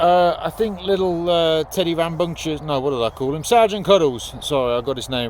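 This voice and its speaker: Over noticeable background noise, a man with a British accent speaks at a fairly quick pace with lively intonation. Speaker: youtuber testing crossbows. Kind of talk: casual outdoor vlog. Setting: outdoors. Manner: loud; rambling with hesitations. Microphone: no microphone, camera audio.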